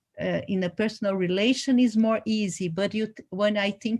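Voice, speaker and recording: Against a quiet background, a woman with a Brazilian Portuguese accent speaks at medium pitch with fairly even intonation. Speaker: dance artist. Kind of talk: panel conversation. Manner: halting, searching for words.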